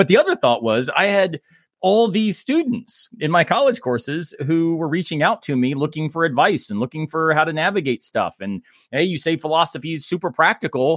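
On a very clean recording with a silent background and a dry, close sound with no echo, a man with an American accent speaks fairly quickly in an ordinary speaking voice at a fairly high pitch. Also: lively intonation. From Florida. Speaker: philosophy professor. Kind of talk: casual chat.

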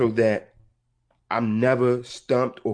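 Against a quiet background, a man speaks at medium pitch with monotone, flat intonation. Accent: American. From Baltimore, Maryland. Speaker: counselor and mentor. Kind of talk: casual interview.

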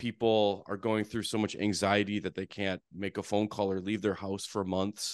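Against a quiet background with a dry, close sound and no echo, a man with a North Dakota accent speaks at a moderate pace in a fairly low pitch with monotone, flat intonation. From North Dakota (Fargo). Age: 40s. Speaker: therapist and real estate investor. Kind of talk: podcast interview.

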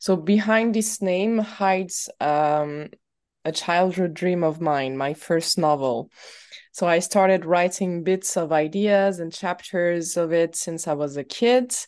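A woman's fairly low voice with a non-native accent, at a very slow pace. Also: ordinary pitch variation, quiet background. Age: 30s. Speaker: writer and poet. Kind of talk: interview. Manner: halting.

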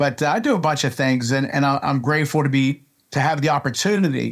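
Fairly quick, a man speaks in a Pittsburgh accent with a fairly high pitch. The recording is very clean, with a silent background. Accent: Western Pennsylvania (Pittsburgh) American. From Pittsburgh, Pennsylvania. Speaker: baseball coach and scout. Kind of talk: interview. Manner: animated, emotional.

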